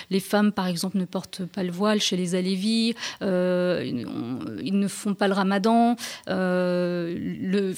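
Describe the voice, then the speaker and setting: Medium in pitch, a woman speaks with ordinary pitch variation. The recording is very clean, with a silent background. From France (Rennes, Strasbourg), Turkish Alevi family. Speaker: journalist and author. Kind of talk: radio interview. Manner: halting, repeats words.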